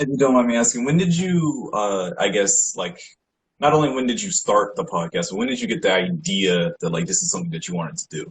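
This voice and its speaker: A man with a fairly high pitch and vocal fry speaks at a fairly quick pace, his pitch swinging very widely. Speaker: podcast host. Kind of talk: casual interview.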